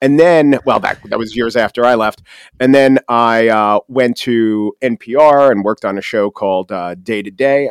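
A man talks with a Long Island accent at a medium pitch. His pitch moves in an ordinary way against a quiet background. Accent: Long Island New York. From Long Island, New York. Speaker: podcast host and commentator. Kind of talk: interview conversation. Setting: studio. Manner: fast talker.

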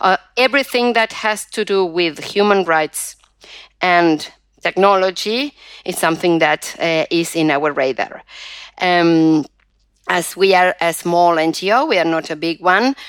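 Recorded very cleanly with a silent background and a dry, close sound with no echo, a woman speaks at a fairly slow pace with a fairly low pitch and ordinary pitch variation. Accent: Spanish. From Argentina. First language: Spanish. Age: 50s. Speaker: digital rights activist and professor. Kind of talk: interview. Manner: halting, many fillers.

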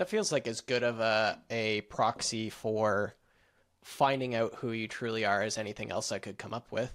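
Here is a man with an ordinary speaking voice at a medium pitch, talking at a moderate pace with fairly even intonation. The recording is very clean with a silent background. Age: young. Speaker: podcast host. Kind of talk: casual chat.

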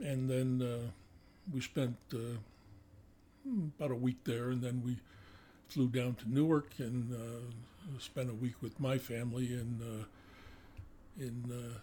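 A man's very slow, somewhat breathy delivery in an American accent, with a dark, mellow tone, medium pitch, fairly even intonation and long, frequent pauses. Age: 80s. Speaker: retired police detective. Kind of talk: casual interview, testimony.

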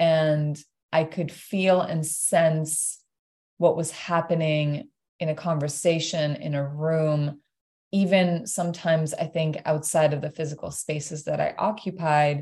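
A woman's very deep, low voice comes across somewhat breathy, with a dark, mellow tone and flat, monotone intonation. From Iran. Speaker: creative director and community builder. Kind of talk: podcast interview.

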